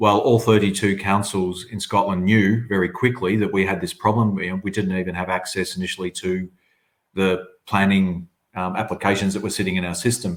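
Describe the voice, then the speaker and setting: Using an Australian accent, a man talks at a fairly quick pace and fairly low pitch in a monotone, flat intonation. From southern Australia. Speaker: agency chief executive. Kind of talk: webinar panel discussion.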